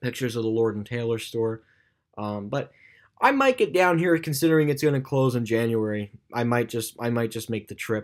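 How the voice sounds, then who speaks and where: At a fairly quick pace, a man with medium pitch and ordinary pitch variation is captured on a very clean recording with a silent background. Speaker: YouTuber. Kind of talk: casual vlog commentary. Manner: fast; halting, many fillers.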